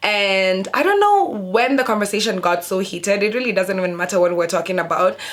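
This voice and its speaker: A woman with an animated tone speaks at a medium pitch and fairly quick pace, with hardly any pauses and very even loudness. Noticeable background noise is audible. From sub-Saharan Africa. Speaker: YouTuber. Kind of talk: casual storytime vlog.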